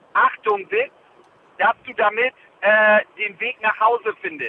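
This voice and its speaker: A man with an extremely high pitch speaks at a very slow pace. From northern Germany (Jever, Friesland). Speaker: podcast co-host. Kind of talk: casual chat. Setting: phone call.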